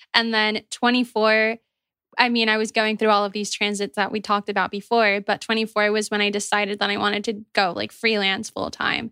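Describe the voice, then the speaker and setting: A woman with a bright, sharp tone talks fairly quickly at a fairly high pitch in a monotone, flat intonation, recorded very cleanly against a silent background with a dry, close sound and no echo. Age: 20s. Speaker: podcast co-host. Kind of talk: casual interview chat.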